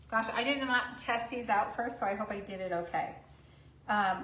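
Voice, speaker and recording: Over noticeable background noise, a woman talks at a fairly slow pace with ordinary pitch variation. Audible room echo surrounds her voice. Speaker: craft painting instructor. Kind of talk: live stream painting tutorial. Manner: loud; chatty, casual.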